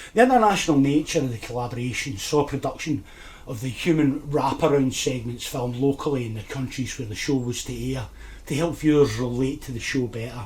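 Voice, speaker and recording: Over noticeable background noise, a man at medium pitch talks at a fairly quick pace with ordinary pitch variation and big swings in loudness. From Scotland, Lanarkshire area. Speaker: nostalgia YouTuber. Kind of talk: scripted narration.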